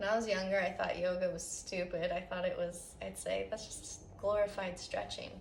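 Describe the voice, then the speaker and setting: A soft-spoken woman, with audible room echo and noticeable background noise. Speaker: yoga teacher. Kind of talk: guided yoga class. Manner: slow.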